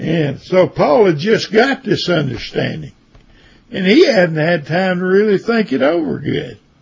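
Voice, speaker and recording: Noticeable background noise runs under speech with lively intonation. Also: man, high pitch for a man. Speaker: Bible teacher. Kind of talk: Bible study lecture. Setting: online session. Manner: halting.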